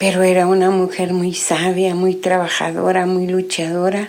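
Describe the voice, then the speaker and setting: The clip has noticeable background noise and an audible room echo. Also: woman. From Guatemala, Guatemala City. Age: 60s. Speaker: testimony giver. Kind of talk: religious testimony.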